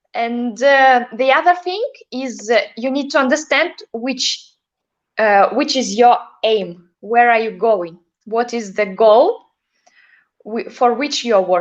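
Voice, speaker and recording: A high-pitched woman in a Russian accent, very slow, with lively intonation and long, frequent pauses. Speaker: ballroom dancer. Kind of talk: interview. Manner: halting.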